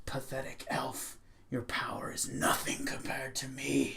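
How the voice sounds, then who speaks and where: A raspy, put-on character voice from a man, medium in pitch, at a moderate pace, over light background noise. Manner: contemptuous, threatening.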